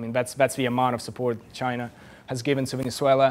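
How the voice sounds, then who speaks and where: A man is speaking. He has a Russian accent. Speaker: journalist. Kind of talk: lecture. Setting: stage with audience. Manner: halting.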